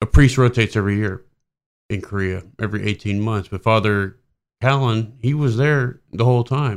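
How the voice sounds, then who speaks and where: A man speaks in a plain, everyday voice at a medium pitch, with ordinary pitch variation and a moderate pace, in a very clean recording with a silent background. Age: 40s. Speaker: army warrant officer, organ donor. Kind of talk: interview.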